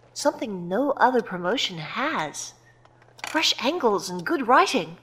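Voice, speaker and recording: Noticeable background noise runs under this recording. A woman speaks fairly slowly at a fairly high pitch with very wide pitch swings. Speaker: wrestling company president character. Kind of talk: scripted comedic audio drama. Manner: brisk, exasperated, businesslike.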